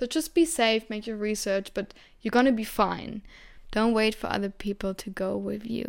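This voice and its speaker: A woman with a German accent and a fairly high pitch speaks at a moderate pace with ordinary pitch variation, on a very clean recording with a silent background. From Germany. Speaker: podcast host. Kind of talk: solo podcast monologue.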